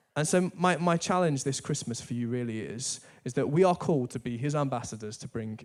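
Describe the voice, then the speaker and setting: With a northern English accent, a man at a medium pitch talks at a fairly quick pace with lively intonation, recorded very cleanly against a silent background. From northern England. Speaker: church staff preacher. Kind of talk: sermon. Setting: church.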